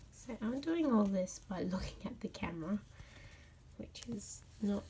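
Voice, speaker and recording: A woman's medium-pitched voice with vocal fry, lively intonation and a moderate pace. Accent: Australian. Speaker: cross stitch crafter. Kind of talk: casual craft tutorial talk.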